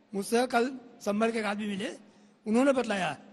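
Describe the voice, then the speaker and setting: Moderately paced speech from a man, with an extremely high pitch. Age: 70s. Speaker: senior lawyer and temple-movement litigant. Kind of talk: heated TV debate. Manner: animated.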